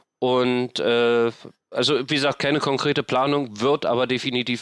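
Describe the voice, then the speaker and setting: Against a quiet background, a man talks at a moderate pace in a medium pitch with fairly even intonation. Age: 50s. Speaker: homelessness activist and podcaster. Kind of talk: interview. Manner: halting, many fillers.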